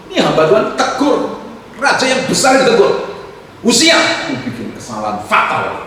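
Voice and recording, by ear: A man talks at a high pitch with very wide pitch swings and a fairly bright tone. His pace is moderate, and strong room echo surrounds him.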